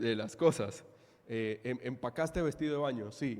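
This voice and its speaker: A man's lively intonation in a Caribbean Colombian accent. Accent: Colombian Caribbean coastal (costeño). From Colombia, Caribbean coast (Santa Marta). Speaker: pastor. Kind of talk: sermon.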